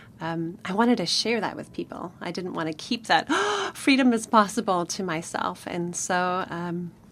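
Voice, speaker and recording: A woman at a medium pitch and moderate pace with ordinary pitch variation, over noticeable background noise. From Namibia. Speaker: author. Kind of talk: radio interview. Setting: studio.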